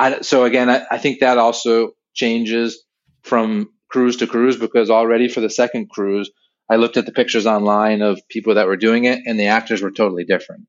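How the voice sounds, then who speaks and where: A man uses a plain, everyday voice, medium in pitch, talking fairly quickly with fairly even intonation. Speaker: website creator and Disney travel enthusiast. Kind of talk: casual chat, podcast interview.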